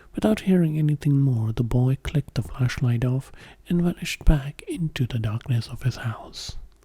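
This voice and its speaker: A soft-spoken whisper with a gentle tone moves along at a moderate pace. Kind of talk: story narration with character dialogue. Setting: studio, close-mic ASMR. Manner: whispering, soft-spoken, gentle.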